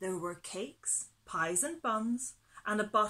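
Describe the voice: Someone does plain reading aloud with ordinary pitch variation.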